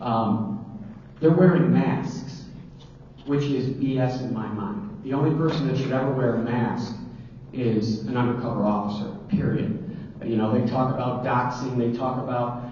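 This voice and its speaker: A man's medium-pitched voice at a moderate pace, ordinary pitch variation, audible room echo and noticeable background noise. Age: 50s. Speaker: sheriff candidate. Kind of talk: candidate forum answer. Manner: animated; halting.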